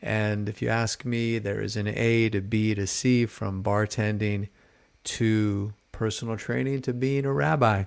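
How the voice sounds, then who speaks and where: An unremarkable speaking voice from a man with an American accent, fairly low in pitch, fairly even in intonation and fairly slow, on a very clean recording with a silent background. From US West Coast, San Francisco Bay Area (Marin). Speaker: rabbi and sports card podcaster. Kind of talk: casual solo podcast monologue.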